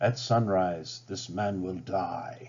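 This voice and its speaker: A man's raspy, put-on character voice, fairly low in pitch, with lively intonation. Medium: read story. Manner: grave, commanding.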